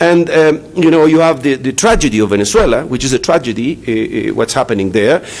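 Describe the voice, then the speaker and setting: A man with a Spanish accent and a fairly high pitch speaks at a fairly quick pace over noticeable background noise. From Chile. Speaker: economics professor. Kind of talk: conference talk. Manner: halting, many fillers.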